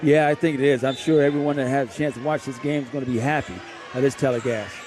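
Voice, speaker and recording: Against noticeable background noise, a man with a fairly high pitch talks at a very fast pace with fairly even intonation. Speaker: basketball color commentator, former coach. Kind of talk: live sports broadcast color commentary.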